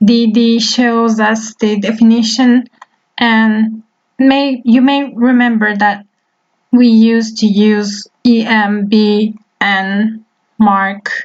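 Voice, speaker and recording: In a Turkish accent, a woman speaks in a somewhat breathy, fairly high voice with monotone, flat intonation. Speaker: web development teacher. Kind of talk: tutorial.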